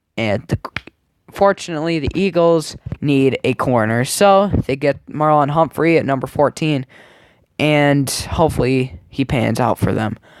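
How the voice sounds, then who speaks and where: In a dry, close sound with no echo, a man talks at a fairly slow pace, his pitch fairly high with ordinary variation. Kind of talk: casual sports commentary to camera. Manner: casual, chatty.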